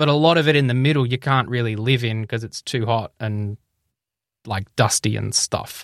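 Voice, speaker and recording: Speech with an Australian accent at a moderate pace and ordinary pitch variation, in a dry, close sound with no echo and a very clean recording with a silent background. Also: man, medium pitch for a man. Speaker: health tech podcaster and company director. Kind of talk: interview conversation.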